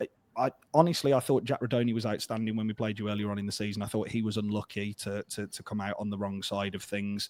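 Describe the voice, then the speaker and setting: A man speaks at a very fast clip in a fairly low voice with fairly even intonation. The sound is dry and close, with no echo. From England, Birmingham. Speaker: football fan podcaster. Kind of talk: casual chat.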